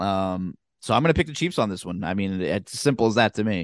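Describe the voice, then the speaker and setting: In an American accent, a man with a plain, everyday voice talks at a moderate pace with lively intonation, the sound dry and close with no echo and the background quiet. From Southern New Jersey. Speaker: sports podcast co-host. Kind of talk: casual chat.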